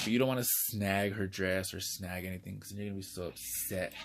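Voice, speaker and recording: Fairly quick speech from a man with a very deep, low voice. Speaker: doll collector YouTuber. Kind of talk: unboxing video. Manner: casual, chatty.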